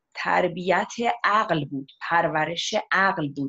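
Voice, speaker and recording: Against a quiet background, a woman with a normal speaking voice and a fairly low pitch shows ordinary pitch variation. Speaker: guest. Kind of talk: interview answer. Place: home room. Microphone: video call.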